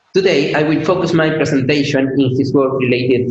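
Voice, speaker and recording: Speaking at a moderate pace with a non-native accent, a man keeps his intonation fairly even. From Chile. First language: Spanish. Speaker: PhD student. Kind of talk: conference talk. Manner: halting, with fillers.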